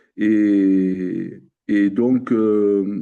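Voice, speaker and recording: A man's dark, mellow tone at a fairly low pitch, against a quiet background. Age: 60s. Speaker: coaching client. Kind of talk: interview testimony. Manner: halting, many fillers and repetitions.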